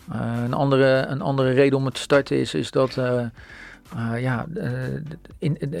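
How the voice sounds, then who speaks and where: His intonation fairly even and his pitch medium, a man speaks at a moderate pace. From Netherlands, Rotterdam. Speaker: founder of a neighbourhood platform. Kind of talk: radio interview.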